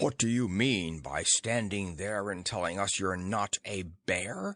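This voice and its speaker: In a put-on, growling character voice, a man speaks fairly slowly at a fairly low pitch with ordinary pitch variation, the background quiet. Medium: read story. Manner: haughty, curt.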